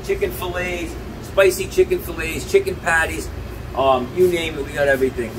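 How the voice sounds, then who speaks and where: Noticeable background noise behind a man at a middling speed. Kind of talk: promotional store tour. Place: shop. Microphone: camera far.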